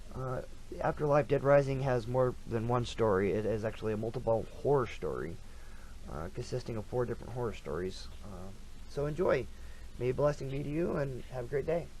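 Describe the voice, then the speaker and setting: A man talks at a fairly quick pace with a medium pitch and vocal fry. Room echo is audible. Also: ordinary pitch variation. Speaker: author reading own book. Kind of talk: reading aloud; casual chat. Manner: halting.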